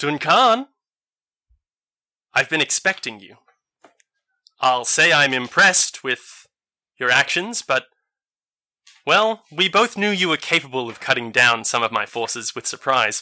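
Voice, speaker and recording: A booming, put-on character voice from a man, fairly high in pitch, at a moderate pace with long, frequent pauses. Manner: menacing, taunting.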